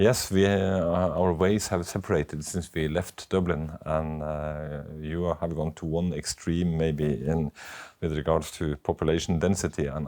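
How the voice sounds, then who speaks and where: A man's very deep, low voice carries a dark, mellow tone and fairly even intonation. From Norway, Oslo. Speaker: doctor. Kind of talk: casual chat. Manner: halting.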